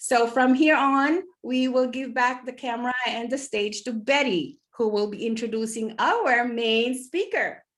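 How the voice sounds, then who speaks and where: The speaker has a Filipino accent and ordinary pitch variation. The pace is fairly slow. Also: woman. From Philippines, Ilocos region. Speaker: online business meeting host. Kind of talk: online group meeting moderation.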